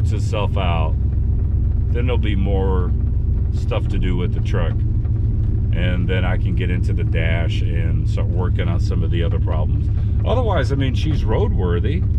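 Loud background noise surrounds a man speaking at a moderate pace with long, frequent pauses, the sound dry with no echo. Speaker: truck owner vlogger. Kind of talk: casual vlog chat. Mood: relaxed, chatty. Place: car. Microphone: phone near.

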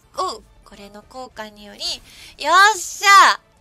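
A woman speaks in an upbeat tone at a moderate pace. Faint music plays in the background. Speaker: virtual streamer. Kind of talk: casual live-stream gameplay commentary. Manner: upbeat, excitable.

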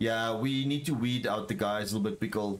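This man speaks with a South African accent at a fairly quick pace. Noticeable background noise can be heard. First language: Afrikaans. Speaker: gaming streamer. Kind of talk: casual chat.

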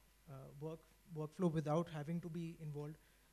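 A man talks in a high-pitched voice. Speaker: panelist. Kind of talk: panel discussion answer. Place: stage. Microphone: handheld.

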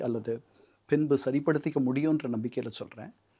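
This is a plain, everyday voice. The pitch variation is ordinary. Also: man. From Chennai, Tamil Nadu. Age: 60s. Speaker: retired UN political officer and author. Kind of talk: interview.

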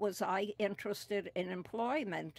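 Dry and close with no echo, a woman's medium-pitched voice carries vocal fry. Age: 80s+. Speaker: retired office worker, senior center resident. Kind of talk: oral history interview.

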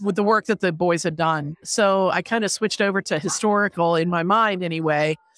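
An ordinary speaking voice moves at a fairly quick pace with ordinary pitch variation, the sound dry and close with no echo. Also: woman. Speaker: historical fiction author. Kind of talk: casual interview. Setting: book festival floor.

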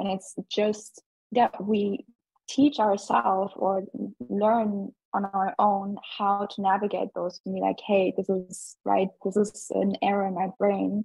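A woman speaks at a very slow pace in a somewhat breathy voice of medium pitch with fairly even intonation. The sound is dry with no echo over a quiet background. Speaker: event participant. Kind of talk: casual discussion. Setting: video call. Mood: thoughtful, conversational. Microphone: video call.

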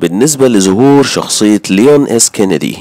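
A man with an Egyptian accent speaks at a moderate pace, his fairly low voice dark and mellow with lively intonation, in a dry, close sound with no echo. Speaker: gaming YouTuber. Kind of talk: gaming news video. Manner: casual.

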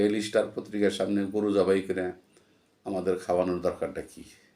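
With a dark, mellow tone, a man delivers his words in a monotone, flat intonation. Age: 60s. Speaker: YouTube commentator, retired employee. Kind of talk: solo political commentary monologue. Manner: halting.

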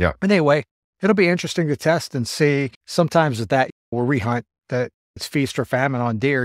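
Speech moves at a fairly quick pace with ordinary pitch variation, recorded dry with no echo against a quiet background. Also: man. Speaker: podcast co-host. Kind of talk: casual podcast chat. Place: home room.

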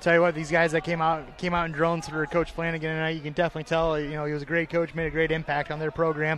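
The speech comes at a very fast pace with hardly any pauses. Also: man, fairly high pitch for a man. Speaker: color commentator, wrestling analyst. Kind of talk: live sports commentary, excited coaching-style calls and analysis. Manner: excitable, shouting instructions; casual, conversational.

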